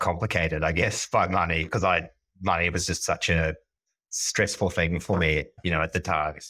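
On a very clean recording with a silent background, a man with a New Zealand accent speaks at a moderate pace, his very deep, low pitch paired with a bright, sharp tone and very even loudness. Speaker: neobank product executive. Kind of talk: podcast interview.

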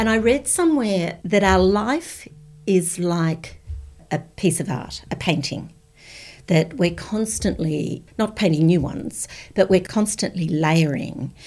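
Against music in the background, a woman with an Australian accent speaks. Her medium pitch comes at a fairly slow pace. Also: lively intonation. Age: 60s. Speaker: former school principal. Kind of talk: casual chat.

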